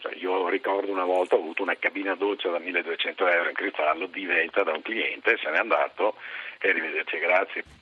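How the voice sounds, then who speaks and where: Noticeable background noise runs under the speech. A man talks at a fairly quick pace. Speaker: hotel industry representative. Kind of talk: radio interview.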